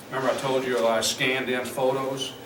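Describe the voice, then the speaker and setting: Speaking with a Southern US accent at medium pitch, a man is heard through audible room echo and noticeable background noise. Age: 60s. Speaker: pastor and street preacher. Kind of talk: workshop tutorial. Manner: casual, conversational.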